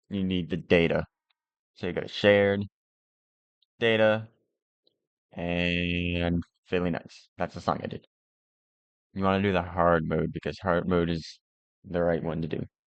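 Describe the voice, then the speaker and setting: A man with a very deep, low voice speaks at a fairly slow pace in a flat monotone, leaving long, frequent pauses. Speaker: modding tutorial creator. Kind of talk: tutorial. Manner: casual.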